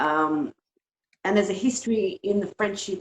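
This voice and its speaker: In an Australian accent, a woman talks at a moderate pace with lively intonation and a medium pitch, the sound dry and close with no echo. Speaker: webinar participant asking a question. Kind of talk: Q&A question on a video call. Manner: halting, many ums.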